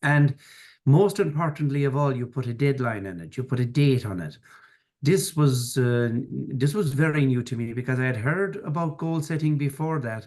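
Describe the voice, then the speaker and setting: A fairly high-pitched man with an Irish accent, lively in intonation, at a moderate pace. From Ireland, rural farming background. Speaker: financier and business mentor. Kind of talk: podcast interview.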